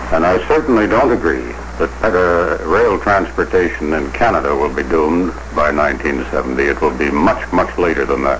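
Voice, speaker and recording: A man with a very deep, low pitch speaks at a moderate pace with lively intonation. Noticeable background noise runs under his voice. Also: very even loudness. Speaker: railway company president giving an interview answer. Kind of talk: interview answer.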